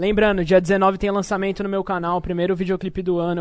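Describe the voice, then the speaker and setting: Very fast and in a monotone, flat intonation, a man speaks. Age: 20s. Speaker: rapper. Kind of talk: casual chat.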